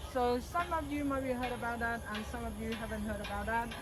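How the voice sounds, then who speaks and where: A woman with a Cambodian accent at a moderate pace, with audible room echo. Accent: Cambodian (Khmer). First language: Khmer. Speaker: tour guide. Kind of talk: guided tour explanation. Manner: halting.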